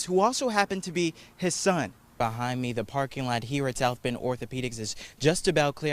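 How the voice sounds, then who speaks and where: This man has an ordinary speaking voice, talking at a moderate pace and medium pitch with ordinary pitch variation. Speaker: multimedia journalist. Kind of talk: TV news reporter. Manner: live, fluid delivery.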